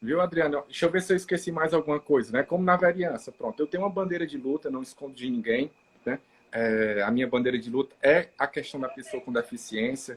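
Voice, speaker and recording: Fairly quick speech in a Ceará accent with a dry, close sound and no echo. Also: man. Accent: Brazilian Portuguese, Ceará (northeastern). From Maracanaú, Ceará, Brazil. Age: 30s. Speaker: city councillor and physiotherapist. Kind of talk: live interview chat.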